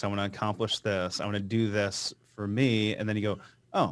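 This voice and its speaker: A plain, everyday voice from a man, fairly low in pitch and moderate in pace, on a very clean recording with a silent background. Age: young. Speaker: financial planner and podcast host. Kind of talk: podcast interview.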